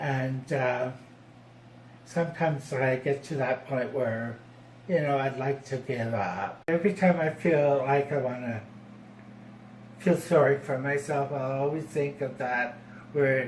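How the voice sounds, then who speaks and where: A man speaks at a fairly slow pace, pausing often and at length. His fairly high pitch shows ordinary variation. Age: 60s. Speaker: formerly homeless man. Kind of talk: personal testimony. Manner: halting.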